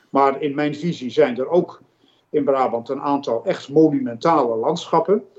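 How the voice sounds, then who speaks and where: Fairly high in pitch, this man talks at a moderate pace with ordinary pitch variation. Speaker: retiring director of a nature conservation foundation. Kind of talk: interview. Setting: video call. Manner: animated.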